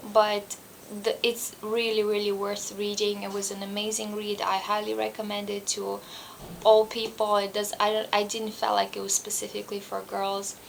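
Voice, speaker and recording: This woman has a non-native accent, medium pitch, and a monotone, flat intonation at a moderate pace. Noticeable background noise can be heard. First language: not English. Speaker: booktuber. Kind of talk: book review vlog. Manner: halting.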